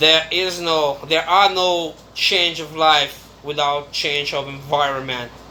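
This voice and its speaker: Someone speaks with a Brazilian accent at a very slow pace, barely pausing at all. Background noise is noticeable throughout. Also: man, fairly high pitch for a man, fairly even intonation. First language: Brazilian Portuguese. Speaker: YouTuber. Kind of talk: casual monologue vlog.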